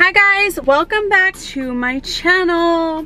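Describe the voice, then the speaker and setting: Faint music plays behind a woman's raised, projected voice, and the sound is dry with no echo. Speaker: lifestyle vlogger. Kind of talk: casual vlog chat.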